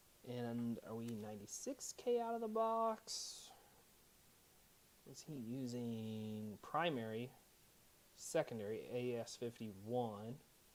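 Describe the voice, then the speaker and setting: Long pauses appear frequently. Overall the delivery is very slow. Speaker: audio equipment reviewer. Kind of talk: unboxing and setup walkthrough. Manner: casual, thinking aloud.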